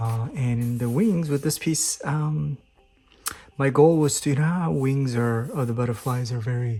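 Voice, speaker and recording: Here a man talks at a moderate pace. His tone is dark, mellow and somewhat breathy. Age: 50s. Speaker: amateur painter. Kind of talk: casual talk to camera. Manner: hesitant, many fillers.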